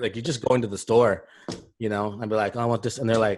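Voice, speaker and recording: The speaker is a man with an American accent. He talks at a medium pitch and a very fast pace. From Los Angeles, US. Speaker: podcast host. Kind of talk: casual chat.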